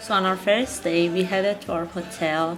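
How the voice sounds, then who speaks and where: Over music in the background and with audible room echo, a woman speaks at a moderate pace in a fairly low pitch with ordinary pitch variation. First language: Persian (Farsi). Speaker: travel vlogger. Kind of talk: travel vlog narration.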